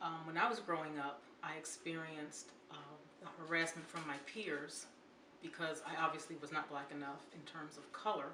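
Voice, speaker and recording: The speech moves at a moderate pace with fairly even intonation and big swings in loudness, with audible room echo and noticeable background noise. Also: woman, very deep, low pitch for a woman. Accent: American. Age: 50s. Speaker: interviewee. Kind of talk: interview testimony.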